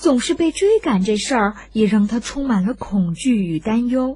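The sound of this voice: A woman with a fairly high pitch talks at a moderate pace. Her tone is dark and mellow, her intonation lively.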